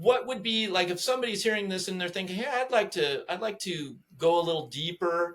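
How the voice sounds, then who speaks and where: Over noticeable background noise, a man with a high pitch talks at a fairly quick pace, with ordinary pitch variation. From Southern California. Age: 60s. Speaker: podcast host. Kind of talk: casual chat. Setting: at home in his kitchen. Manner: animated.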